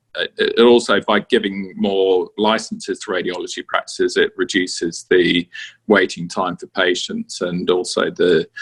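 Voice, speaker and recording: Dry and close with no echo, a man with a British accent speaks at a moderate pace. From UK. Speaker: radiologist. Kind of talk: interview. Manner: hesitant, many fillers.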